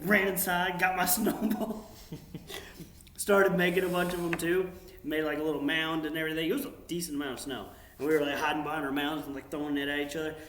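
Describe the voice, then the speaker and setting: Against noticeable background noise and audible room echo, a man with a fairly high pitch speaks at a very fast pace. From US South, North Carolina (Union County). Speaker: military drone pilot. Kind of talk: casual chat. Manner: animated.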